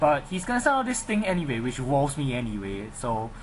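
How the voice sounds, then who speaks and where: Fairly quick speech with audible room echo and noticeable background noise. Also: man. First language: not English. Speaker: gaming commentator. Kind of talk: live game commentary. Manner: halting; animated.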